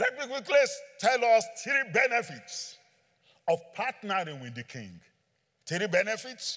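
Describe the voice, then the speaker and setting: Speaking at a fairly slow pace with long, frequent pauses, a man uses a high pitch, a bright, sharp tone, lively intonation, an animated delivery and big swings in loudness. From Nigeria. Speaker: preacher. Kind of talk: sermon. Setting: church with congregation. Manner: animated, joking with audience.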